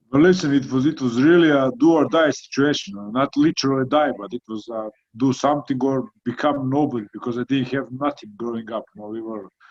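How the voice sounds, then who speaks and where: Speaking very fast with hardly any pauses, a man with a Croatian accent has a medium pitch and ordinary pitch variation in a dry, close sound with no echo. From Croatia, small coastal town. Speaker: heavyweight boxer. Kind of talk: interview.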